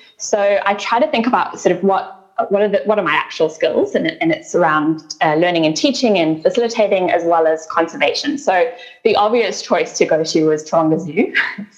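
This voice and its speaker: A woman with a medium pitch speaks at a fairly quick pace. Her pitch swings very widely over noticeable background noise. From South Africa. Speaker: sustainability nonprofit CEO. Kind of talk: interview conversation.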